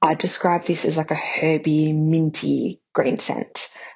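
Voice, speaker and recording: Speaking in an Australian accent, a woman talks at a very slow pace. Her pitch is fairly low. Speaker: caller. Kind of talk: voicemail call-in. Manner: quiet.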